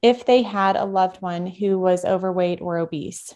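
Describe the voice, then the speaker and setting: Against a quiet background, a woman uses an ordinary speaking voice at a medium pitch with fairly even intonation. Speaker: physical therapist and health podcaster. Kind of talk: lecture.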